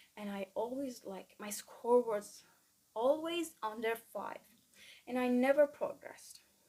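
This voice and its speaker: A woman speaks at a fairly slow pace with a Persian accent and a dark, mellow tone. Her loudness swings widely. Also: ordinary pitch variation. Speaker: student vlogger. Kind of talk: casual vlog monologue. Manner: halting, many fillers.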